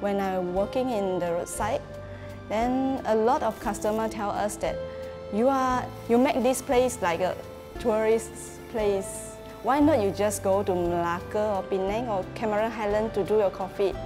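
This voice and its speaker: A woman speaks at a moderate pace with ordinary pitch variation while clear music plays in the background. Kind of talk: interview answer. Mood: warm, proud. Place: cafe.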